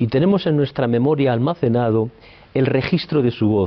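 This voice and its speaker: The speaker is a man at a medium pitch. He talks at a moderate speed. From Spain, Palencia (Castile). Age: 60s. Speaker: psychoanalyst. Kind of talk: interview. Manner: hesitant, with fillers.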